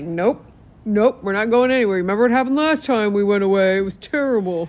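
A put-on character voice, fairly high in pitch, mumbling at a very fast pace. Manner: mumbling, mocking.

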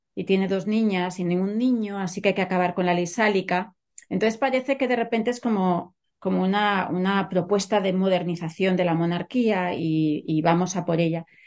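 Against a quiet background, a woman with a plain, everyday voice speaks at a moderate pace with fairly even intonation. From Catalonia, Spain. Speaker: literature professor and author. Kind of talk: interview.

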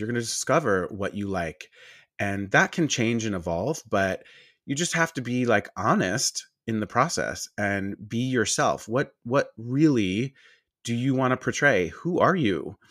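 A man's unremarkable speaking voice at a medium pitch and fairly slow pace, on a very clean recording with a silent background. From Long Island, New York. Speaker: esthetician and skincare business owner. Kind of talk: casual interview chat.

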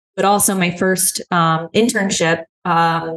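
A woman with an American accent, a plain, everyday voice, fairly low in pitch, with fairly even intonation. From New York, Hudson Valley. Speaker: marketing executive and consultant. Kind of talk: interview conversation.

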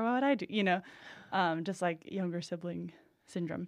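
A woman with an American accent has a plain, everyday voice at a medium pitch. She speaks at a moderate pace on a very clean recording with a silent background. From Boston area, New England. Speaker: comedian and writer. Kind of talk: casual chat. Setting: studio.

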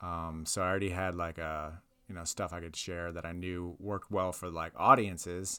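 In a very clean recording with a silent background, a man with an American accent speaks at a very deep, low pitch, with a bright, sharp tone and a monotone, flat intonation. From Ohio and Florida (Tampa area). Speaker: comedian. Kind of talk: casual chat.

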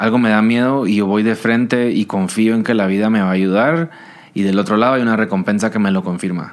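Talking at a fairly quick pace, a man with a fairly low pitch keeps very even loudness and ordinary pitch variation. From Guatemala. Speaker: singer-songwriter. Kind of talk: casual interview.

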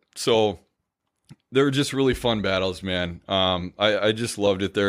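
A man with an American accent and a plain, everyday voice speaks at a fairly low pitch and moderate pace on a very clean recording with a silent background. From Minnesota, Stillwater. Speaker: former hockey player. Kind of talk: casual chat.

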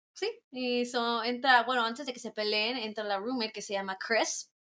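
A woman speaks at a fairly slow pace with a fairly high pitch and a bright, sharp tone. The background is quiet. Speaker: podcast guest. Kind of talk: casual chat. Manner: code-switching Spanish and English.

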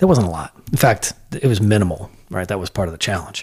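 A man with an American accent speaks in a fairly low, somewhat breathy voice. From US Midwest, Iowa. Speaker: lawyer and nonprofit founder. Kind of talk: casual interview conversation. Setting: home garage studio.

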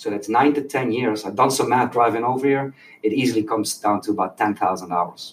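Someone with a Dutch accent talks at a fairly quick pace with ordinary pitch variation. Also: man, medium pitch for a man. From Netherlands. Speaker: youth soccer coach. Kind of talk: casual chat.

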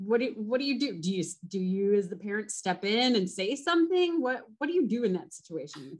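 A woman with a General American accent talks at a fairly quick pace with hardly any pauses, her fairly high, somewhat breathy voice making very wide pitch swings. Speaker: podcast host. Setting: studio.

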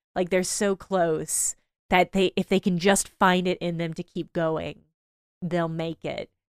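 Speaking fairly slowly with an American accent, a woman keeps a fairly low pitch and a monotone, flat intonation. The recording is very clean, with a silent background. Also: dry, close sound with no echo. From Illinois. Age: 30s. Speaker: video essayist. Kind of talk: casual interview.

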